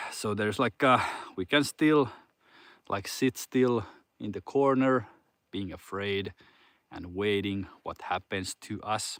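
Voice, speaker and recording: A man speaks with a Finnish accent at a fairly low pitch and a very slow pace, with long, frequent pauses and ordinary pitch variation. The recording is very clean with a silent background and a dry, close sound with no echo. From Finland. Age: 40s. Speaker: fitness coach. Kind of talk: casual motivational talk. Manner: halting.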